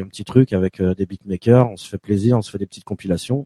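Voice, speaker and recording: A man's fairly low, dark, mellow voice with ordinary pitch variation, in a dry, close sound with no echo. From Paris, France. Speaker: beatmaker. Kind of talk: casual interview.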